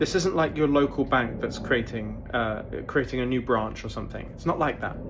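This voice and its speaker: Recorded with noticeable background noise and audible room echo, a man speaks at a medium pitch with ordinary pitch variation in a British accent. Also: moderate pace. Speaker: crypto YouTuber. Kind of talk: casual video monologue. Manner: animated.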